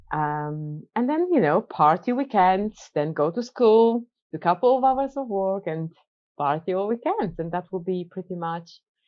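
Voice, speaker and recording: Speaking at a moderate pace, a woman with a medium pitch uses lively intonation. She talks with a Polish accent. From Poland. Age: 40s. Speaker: businesswoman and coach. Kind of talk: casual chat.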